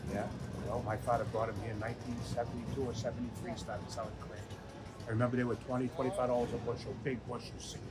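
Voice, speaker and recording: A man with an American accent speaks very fast in a flat monotone at medium pitch, amid noticeable background noise and audible room echo. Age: 60s. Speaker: restaurant owner. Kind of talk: interview.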